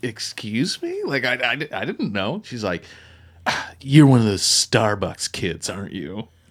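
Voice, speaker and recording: A man with a Maritime Canadian accent talks at a fairly slow pace. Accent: Canadian (Maritimes). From Nova Scotia, Canada. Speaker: pastor. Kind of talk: casual chat.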